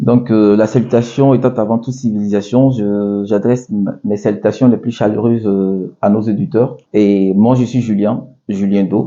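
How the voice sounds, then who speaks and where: With an Ivorian accent, a man speaks at a fairly low pitch and with fairly even intonation. His pace is fairly slow, with hardly any pauses. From Ivory Coast, Abidjan. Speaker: restaurant owner. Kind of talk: interview. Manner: hesitant, many fillers.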